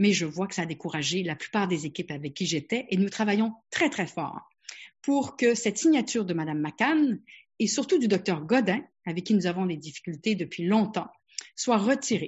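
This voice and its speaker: A woman of medium pitch talks at a moderate pace. Her voice is somewhat breathy, and her pitch swings very widely. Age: 60s. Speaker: family physician. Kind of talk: webinar presentation.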